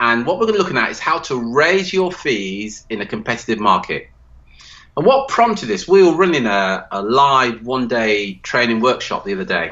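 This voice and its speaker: A loud man talks at a fairly quick pace, his pitch swinging very widely. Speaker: podcast host. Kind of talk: casual chat.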